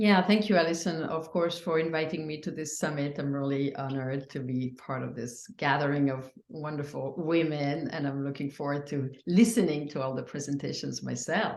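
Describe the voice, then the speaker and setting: A woman with a French accent speaks at a moderate pace with hardly any pauses, her pitch very deep and low with ordinary variation. Noticeable background noise runs behind her. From France. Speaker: psychedelic healing practitioner. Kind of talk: interview. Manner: halting.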